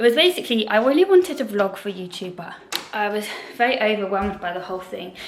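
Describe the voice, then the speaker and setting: A woman talks at a very fast pace with a fairly high pitch and lively intonation. Her loudness swings widely, and there is noticeable background noise. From UK. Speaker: vlogger and actor. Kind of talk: casual vlog chat.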